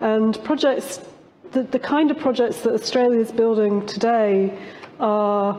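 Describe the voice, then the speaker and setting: The speaker has a British accent. The pace is fairly slow. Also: woman. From UK. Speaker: professor. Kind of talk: conference panel discussion. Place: stage.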